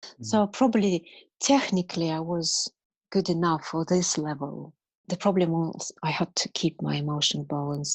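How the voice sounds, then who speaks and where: A woman with a Russian accent speaks at a fairly low pitch with ordinary variation. The background is quiet. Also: moderate pace. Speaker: martial arts teacher. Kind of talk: interview answer.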